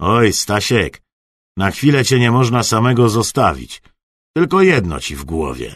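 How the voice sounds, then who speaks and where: Putting on a raspy character voice, a man at a medium pitch talks at a moderate pace with very wide pitch swings and big swings in loudness. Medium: read story. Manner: jovial, teasing.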